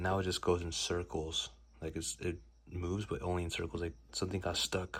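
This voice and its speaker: In a very clean recording with a silent background, a man whispers at a fairly quick pace, sounding somewhat breathy. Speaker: hobbyist YouTuber. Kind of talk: casual vlog tutorial. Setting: at home, late night. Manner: whispering; hesitant, many fillers.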